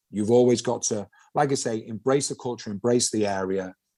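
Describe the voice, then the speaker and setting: Against a quiet background, a man with a Mancunian accent speaks in a dark, mellow tone. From Manchester, England. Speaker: former footballer, pundit. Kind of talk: podcast interview. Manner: animated.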